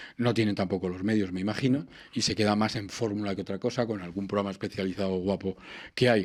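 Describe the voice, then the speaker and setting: On a very clean recording with a silent background, a man with a fairly low pitch speaks at a very fast pace. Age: 60s. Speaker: radio presenter. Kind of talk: interview conversation. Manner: animated.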